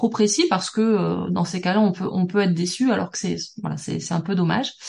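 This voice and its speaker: A woman talks at a moderate pace with ordinary pitch variation. Her voice is somewhat breathy. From southern France, Toulouse. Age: 40s. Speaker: business networking expert. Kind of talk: podcast interview.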